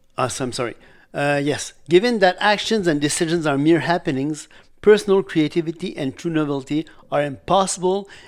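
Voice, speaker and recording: The recording is very clean with a silent background. A man speaks with lively intonation at a fairly high pitch. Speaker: graduate student presenting theology. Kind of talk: academic presentation. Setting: seminary lecture. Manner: halting, with false starts; fast.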